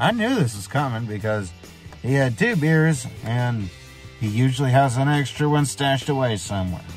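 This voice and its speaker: A man speaks at a moderate pace in a dry sound with no echo. Faint music plays in the background. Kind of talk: casual vlog rant. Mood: annoyed, venting about family. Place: car. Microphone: phone near.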